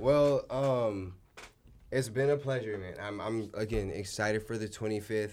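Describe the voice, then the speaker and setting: A man with fairly low pitch has an ordinary speaking voice. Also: ordinary pitch variation, fairly slow pace. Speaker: podcast host. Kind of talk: casual chat. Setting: studio.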